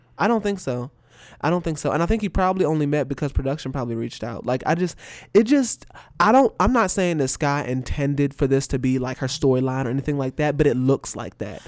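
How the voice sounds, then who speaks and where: A very clean recording with a silent background, the speech very fast. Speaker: podcast co-host. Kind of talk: casual chat.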